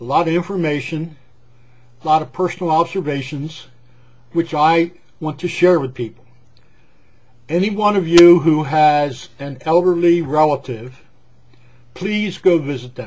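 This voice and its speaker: A man with an American accent at a fairly high pitch, ordinary pitch variation, a moderate pace and long, frequent pauses. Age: 60s. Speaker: retired gas station owner. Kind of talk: personal vlog monologue. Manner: rambling conversational with hesitations; talkative.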